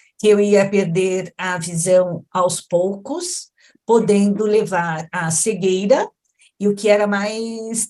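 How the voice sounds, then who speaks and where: Her tone dark and mellow, a woman speaks at medium pitch with ordinary pitch variation. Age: 60s. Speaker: patient advocate. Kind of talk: testimony.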